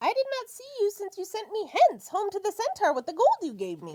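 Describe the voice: A put-on character voice, extremely high in pitch, at a fairly quick pace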